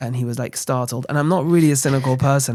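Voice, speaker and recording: This is a man's voice. He speaks at a very fast pace. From London, England. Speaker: rabbi, charity founder. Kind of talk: interview. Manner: soft-spoken.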